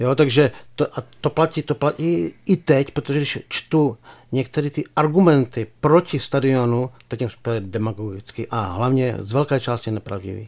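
A man with an unremarkable speaking voice talks at medium pitch and a moderate pace with ordinary pitch variation, in a very clean recording with a silent background. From Czech Republic, Pardubice. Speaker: sports journalist. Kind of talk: casual chat.

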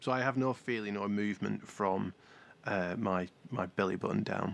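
The pace sits in the middle range. The speaker is a man. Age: 40s. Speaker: podcast co-host, paraplegic surfer. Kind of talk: casual chat.

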